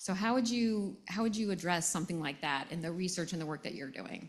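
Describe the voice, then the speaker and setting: A woman with an American accent talks with lively intonation at a medium pitch. She has an unremarkable speaking voice. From United States. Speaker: panel moderator. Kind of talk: panel talk. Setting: tent with audience.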